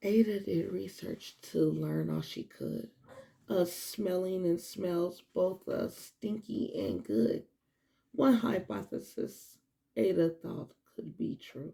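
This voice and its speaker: A woman at a very slow pace, her loudness swinging widely. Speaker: children's book reader / teacher. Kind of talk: children's storybook read-aloud. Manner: friendly, gentle.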